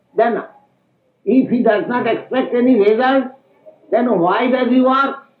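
Audible room echo surrounds a man speaking at an extremely high pitch and a fairly slow pace. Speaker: spiritual teacher. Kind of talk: lecture. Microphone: old recording.

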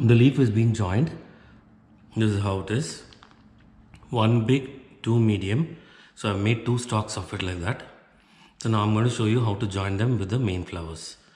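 A man talks at a moderate pace in a fairly low pitch, somewhat breathy, with ordinary pitch variation. He leaves long, frequent pauses, and the room echo is audible. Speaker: craft tutorial presenter. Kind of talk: tutorial. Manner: instructional, explaining step by step. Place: home room.

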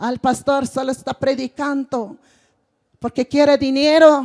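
Speech unfolds at a fairly slow pace over a quiet background. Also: woman. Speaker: preacher. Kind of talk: sermon. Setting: church with congregation. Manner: repeats phrases, rhetorical questions to congregation. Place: stage. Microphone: handheld.

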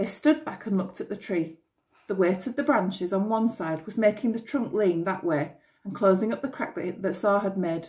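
The pitch varies in an ordinary way as a natural reading voice plays over a quiet background.

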